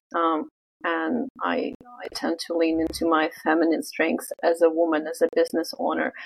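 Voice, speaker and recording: A woman with a Russian accent at a moderate pace. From Russia, Vladivostok. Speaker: business owner. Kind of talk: interview.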